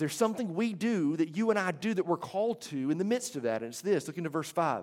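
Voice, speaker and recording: There is an American accent here. Background silence and a very clean recording surround the voice. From Alabama, US South (Hoover). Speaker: pastor. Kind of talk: sermon.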